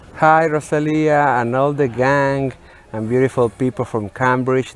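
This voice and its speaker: With a Spanish accent, a man talks at a moderate pace and medium pitch with fairly even intonation over noticeable background noise. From Mexico, Monterrey. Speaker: entertainment journalist. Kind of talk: interview. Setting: remote video link from a museum. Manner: halting, with fillers.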